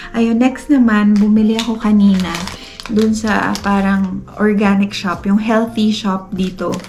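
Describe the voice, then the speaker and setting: Soft-spoken, a woman with a medium pitch talks at a fairly slow pace in monotone, flat intonation, with music in the background. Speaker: family vlogger. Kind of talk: casual vlog talk. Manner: soft-spoken, lowered voice.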